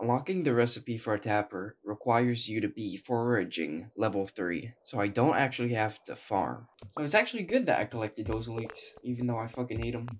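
A medium-pitched man's voice with vocal fry at a moderate pace. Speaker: gaming YouTuber. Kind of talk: casual gameplay commentary. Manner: joking, self-deprecating, animated.

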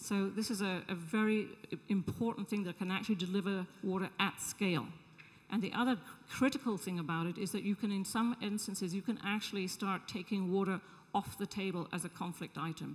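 A somewhat breathy woman at a fairly quick pace, fairly even intonation, quiet background. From England. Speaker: social entrepreneur; panelist. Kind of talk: panel discussion. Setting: stage with audience. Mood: earnest, engaged. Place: hall. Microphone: handheld.

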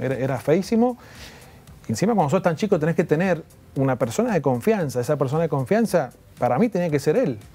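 The speech moves at a fairly quick pace with very wide pitch swings and very even loudness, while faint music plays in the background. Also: man, fairly high pitch for a man. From Argentina, Mendoza; Argentina. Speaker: former tennis player. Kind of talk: interview. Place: studio. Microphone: lapel.

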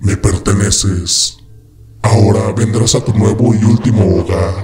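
Putting on a character voice, a man speaks fairly slowly at a fairly low pitch. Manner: macabre, sinister, possessive.

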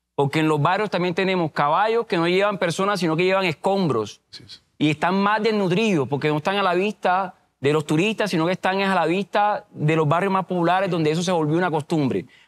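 A man talks at a fairly quick pace with hardly any pauses. His pitch is high, with ordinary variation. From Cartagena, Colombian Caribbean coast. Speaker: mayoral candidate; candidate. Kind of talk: political debate. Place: studio. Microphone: lapel.

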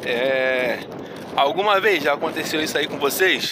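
With lively intonation, a man speaks at a fairly slow pace, the sound dry with no echo but with noticeable background noise. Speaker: vlogger on a hike. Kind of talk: casual vlog chat. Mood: disappointed, upset. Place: waterside. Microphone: phone near.

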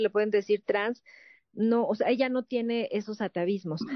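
A woman with a plain, everyday voice talks fairly quickly at a fairly high pitch with fairly even intonation, in a dry sound with no echo and a quiet background. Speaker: entertainment show host. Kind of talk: panel show conversation and interview. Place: studio.

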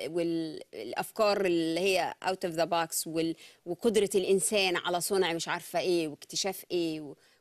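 Speaking fairly slowly with hardly any pauses, a woman with a fairly low pitch keeps a monotone, flat intonation over a quiet background. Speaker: TV show host. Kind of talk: live TV discussion interview. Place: studio.

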